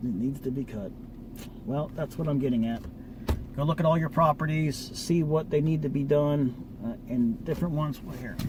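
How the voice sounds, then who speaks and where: A man's fairly high voice with a slight Baltimore accent, moderate pace, ordinary pitch variation, and noticeable background noise. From Baltimore, Maryland, US. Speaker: lawn care business owner. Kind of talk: casual vlog talk. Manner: casual, rambling with fillers.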